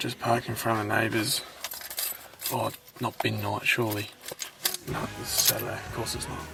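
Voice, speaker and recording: A man whispers at a moderate pace with an Australian accent, pausing long and often over noticeable background noise. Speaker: vlogger. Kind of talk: travel vlog. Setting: in a car. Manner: whispering.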